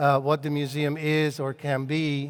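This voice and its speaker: A man with a Hungarian accent speaks at a fairly slow pace in a fairly high pitch. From Hungary. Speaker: cultural consultant and author. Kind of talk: lecture. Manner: hesitant, many fillers and repetitions.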